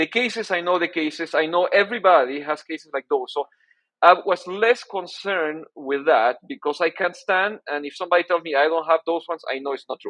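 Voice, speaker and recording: Here a man talks at a fairly quick pace. His voice is high, with ordinary pitch variation. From Peru. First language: Spanish. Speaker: orthodontics professor. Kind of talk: interview. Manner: halting, many repeated words.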